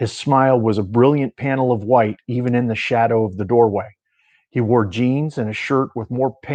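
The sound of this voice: Heard against a quiet background, this is an unforced reading voice. Its intonation stays fairly even.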